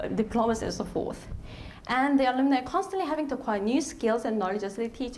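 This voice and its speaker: With a Korean accent and lively intonation, a woman talks at a very fast pace amid noticeable background noise and audible room echo. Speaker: lecturer. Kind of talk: panel presentation. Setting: stage with audience. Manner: halting.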